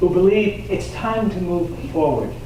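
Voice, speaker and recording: Moderate-paced speech from a man with an American accent, amid audible room echo and noticeable noise. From Hillburn area, New York. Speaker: lecturer, college teacher. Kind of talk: public talk and Q&A. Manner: animated.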